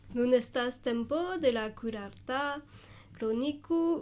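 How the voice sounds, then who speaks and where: A woman with a high pitch talks very slowly, her pitch varying in an ordinary way. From Alsace, France. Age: 20s. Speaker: volunteer. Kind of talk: scripted radio reading.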